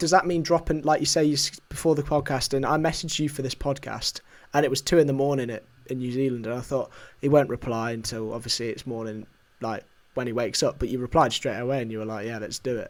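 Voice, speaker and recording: With a British accent, a man talks at a very fast pace using ordinary pitch variation. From United Kingdom. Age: young. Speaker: podcast host. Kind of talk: casual chat.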